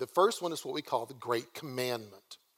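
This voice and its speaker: A man with a Southern US accent, fairly quick in pace and lively in intonation. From US South. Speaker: guest preacher. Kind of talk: sermon. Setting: church. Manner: casual conversational.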